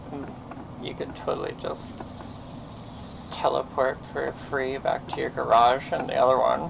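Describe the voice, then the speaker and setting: Over noticeable background noise, a man with a West Coast accent talks at a fairly slow pace with long, frequent pauses. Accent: West Coast vocal fry. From US West Coast. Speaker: game streamer. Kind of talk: casual gameplay commentary. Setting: live stream.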